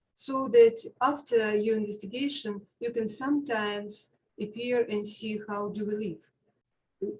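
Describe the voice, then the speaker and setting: With an Eastern European accent, a woman speaks in a fairly high, somewhat breathy voice at a moderate pace with fairly even intonation. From Ukraine. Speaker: public housing tenant, caller. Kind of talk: public comment at community meeting. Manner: halting.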